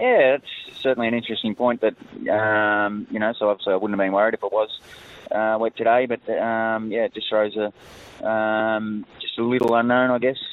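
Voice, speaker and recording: A man of medium pitch with an Australian accent speaks at a moderate pace in a monotone, flat delivery amid noticeable background noise. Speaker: jockey. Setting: phone call.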